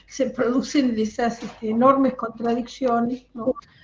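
This is a woman speaking. Her voice sits high in pitch. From Argentina. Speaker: educator. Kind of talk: audience question. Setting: video call. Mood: concerned, earnest. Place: home room. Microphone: headset.

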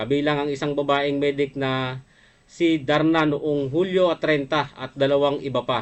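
With a flat, monotone intonation, a man talks at a fairly high pitch. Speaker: livestream program host, former rebel. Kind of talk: livestream talk show reading news items. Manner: hesitant with frequent fillers; polite, formal address.

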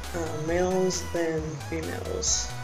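A man talks at a very slow pace. Clear music plays in the background. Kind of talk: casual talk to camera. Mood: unsure, reflective. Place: home room. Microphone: webcam.

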